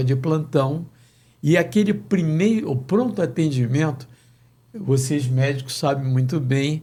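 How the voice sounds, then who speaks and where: Somewhat breathy and fairly high in pitch, a man speaks with a dark, mellow tone at a fairly slow pace. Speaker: sports radio announcer. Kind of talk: interview answer.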